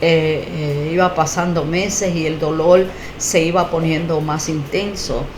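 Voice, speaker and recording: A woman's fairly low voice at a very slow pace, with audible room echo and noticeable background noise. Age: 60s. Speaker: testimony giver, faith healing survivor. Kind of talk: testimony. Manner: halting, many fillers and repetitions.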